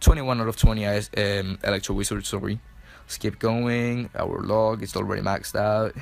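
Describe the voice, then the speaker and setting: A man speaks in a Chilean Spanish accent at a moderate pace, his pitch fairly low. His intonation is monotone and flat, with big swings in loudness. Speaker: mobile gaming YouTuber. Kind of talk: gameplay commentary voice-over. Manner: casual, filler-heavy with self-corrections.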